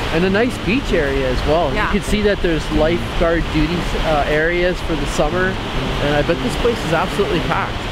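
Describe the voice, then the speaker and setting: Loud background noise fills the clip, yet the sound itself is dry with no echo. The pace is fairly quick. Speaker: travel vlogger. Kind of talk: casual vlog chat. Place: beach. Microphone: phone near.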